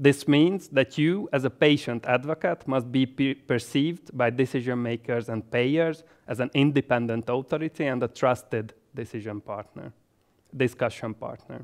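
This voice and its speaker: A man speaks with a Hungarian accent and ordinary pitch variation. The recording is very clean, with a silent background. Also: medium pitch for a man, moderate pace, dry, close sound with no echo. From Hungary, Budapest. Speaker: health economist and medical doctor. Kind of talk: educational presentation. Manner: formal.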